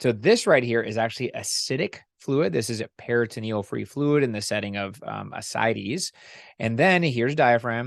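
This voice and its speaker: A man's normal speaking voice at medium pitch, with lively intonation and a moderate pace, against a quiet background. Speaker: ultrasound instructor. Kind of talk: lecture.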